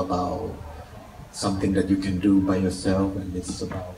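Over light background noise and audible room echo, a man speaks in a very deep, low voice. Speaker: guest. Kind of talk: interview answer. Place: hall. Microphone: pa.

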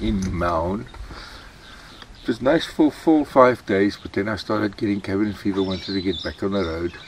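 A man at a fairly low pitch and fairly slow pace, in a dry sound with no echo and with noticeable background noise. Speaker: travel vlogger. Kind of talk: casual vlog chat. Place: open country. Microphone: camera far.

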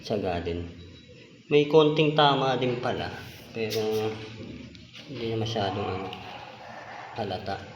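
A man speaks at a fairly slow pace with long, frequent pauses, medium pitch and ordinary pitch variation, over noticeable background noise. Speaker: home DIY vlogger. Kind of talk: casual vlog narration. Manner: casual, chatty.

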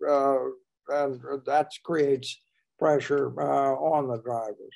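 Quiet surroundings behind a man speaking. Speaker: historian and author; guest. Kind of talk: panel discussion. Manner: halting. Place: home room. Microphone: video call.

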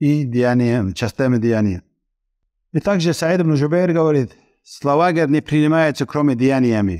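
A fairly high-pitched man at a moderate pace, ordinary pitch variation, quiet background. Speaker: Islamic lecturer. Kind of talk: religious lecture. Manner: halting. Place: studio. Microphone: headset.

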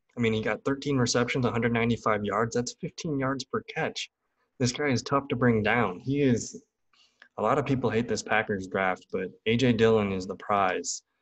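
A man with an American accent talks at a moderate pace with ordinary pitch variation against a quiet background. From Wisconsin (Green Bay); Wisconsin. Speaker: fantasy football YouTuber. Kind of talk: live draft commentary; casual commentary during live draft. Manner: casual, filler-heavy. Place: home room. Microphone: studio mic.

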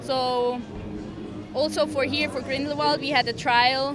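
A woman speaks in a raised, projected voice at a moderate pace, the sound dry with no echo and clear music in the background. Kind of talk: interview answer. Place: hall. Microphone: handheld.

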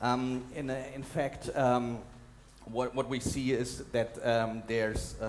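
Flat, monotone intonation from a man, with light background noise. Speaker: documentary journalist and conference speaker. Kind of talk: conference talk with slides and video clips. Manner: hesitant, fillers, repeats words. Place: hall. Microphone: headset.

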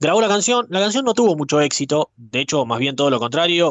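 A man speaks with lively intonation. The sound is dry with no echo and the background quiet. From Argentina. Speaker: radio host. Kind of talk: storytelling. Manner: conversational. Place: studio.

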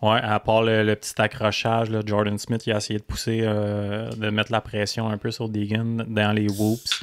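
A man with a Quebec accent speaks in a fairly low pitch, at a fairly slow pace, with hardly any pauses and a monotone, flat intonation. The recording is very clean, with a silent background. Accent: Québécois French. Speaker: motocross podcast co-host. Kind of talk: casual chat.

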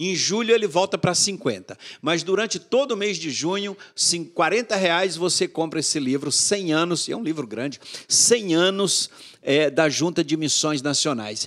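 Against a quiet background, a man talks at a fairly slow pace. His high pitch carries lively intonation. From sertão of Bahia, Brazil. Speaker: mission board executive director, pastor; pastor. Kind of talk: interview, storytelling. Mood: animated, warm storytelling. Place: studio. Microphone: studio mic.

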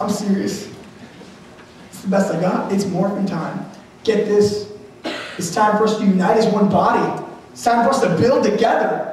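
A man speaks with a high pitch and ordinary pitch variation, at a moderate pace with long, frequent pauses. Strong room echo and light background noise fill the recording. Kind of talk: live motivational / sermon speech to a crowd. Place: stage.

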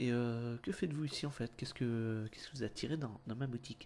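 The speaker is a man with a dark, mellow tone. His pitch is medium. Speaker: ASMR roleplay hairdresser. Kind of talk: casual roleplay comedy banter.

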